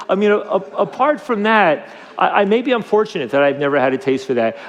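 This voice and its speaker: Over noticeable background noise, a man with a high pitch speaks in lively intonation. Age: 60s. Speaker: drug policy reform advocate. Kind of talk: interview. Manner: halting, many fillers and repetitions.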